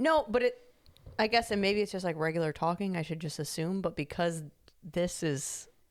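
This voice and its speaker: Recorded very cleanly with a silent background, a woman talks at a moderate pace in a fairly low pitch with ordinary pitch variation. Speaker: podcast co-host. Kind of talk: casual chat. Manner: loud; animated.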